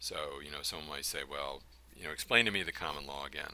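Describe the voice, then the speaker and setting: The voice has a bright, sharp tone with vocal fry. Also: man. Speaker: college instructor. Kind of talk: recorded lecture. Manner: halting, many fillers.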